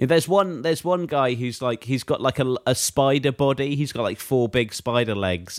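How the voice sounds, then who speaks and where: A man with a British accent and ordinary pitch variation on a very clean recording with a silent background. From Britain. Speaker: podcast co-host. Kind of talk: casual chat.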